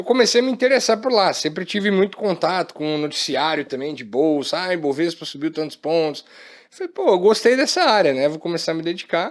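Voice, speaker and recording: Lively intonation and a high pitch come from a man talking fairly quickly. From Maringá, Paraná, southern Brazil. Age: 20s. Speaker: company co-founder and executive. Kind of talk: podcast interview.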